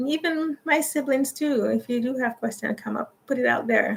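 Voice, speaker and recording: With ordinary pitch variation, a woman speaks in a somewhat breathy voice. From Jamaica, moved to Canada at fourteen. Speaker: YouTuber. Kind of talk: livestream casual chat. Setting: livestream. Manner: halting, many fillers.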